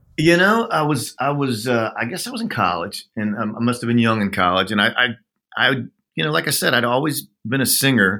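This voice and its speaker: With an American accent, a man of medium pitch in a normal speaking voice talks fairly quickly with lively intonation on a very clean recording with a silent background. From Oklahoma. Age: 50s. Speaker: songwriter. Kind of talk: interview.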